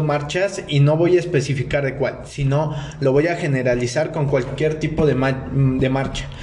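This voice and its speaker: A man speaks slowly-ish, fairly high in pitch, with fairly even intonation. Noticeable background noise and audible room echo surround him. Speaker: podcaster. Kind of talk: monologue. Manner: stuttering, halting.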